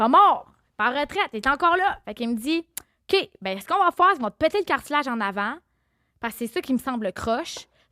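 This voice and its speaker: A woman speaks in a raised, projected voice that is high, bright and sharp, racing at a very fast pace with very wide pitch swings and big swings in loudness, the sound dry and close with no echo on a very clean recording against a silent background. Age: 30s. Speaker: podcast guest. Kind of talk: casual chat. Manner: animated.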